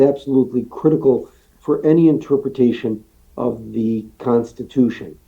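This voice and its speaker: With an unremarkable speaking voice, a man talks at a medium pitch with lively intonation. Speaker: law professor and book author. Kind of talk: lecture.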